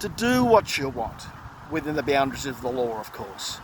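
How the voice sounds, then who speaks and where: Over noticeable background noise, a man with an Australian accent sounds animated, using lively intonation at a moderate pace. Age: 50s. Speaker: political commentator vlogger. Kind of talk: opinion rant monologue. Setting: outdoors walking. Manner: animated, repetitive and halting.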